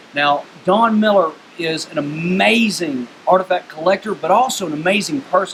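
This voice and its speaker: A man speaks with a high pitch and lively intonation at a moderate pace. Noticeable background noise runs underneath. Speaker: YouTube history show host. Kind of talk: casual talk to camera.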